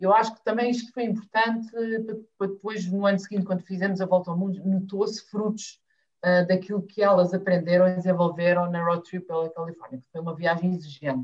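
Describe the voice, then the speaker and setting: A woman's somewhat breathy voice moves at a fairly quick pace, with fairly even intonation. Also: medium pitch for a woman. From Azores, São Miguel. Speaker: family travel blogger. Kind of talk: casual interview chat.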